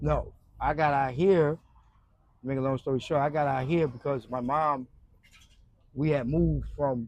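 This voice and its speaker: Long, frequent pauses break up this man's moderate pace. He speaks in a New York accent with fairly even intonation. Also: fairly high pitch for a man. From Brooklyn, New York. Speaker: former addict sharing life story. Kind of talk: interview. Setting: outdoors in a park.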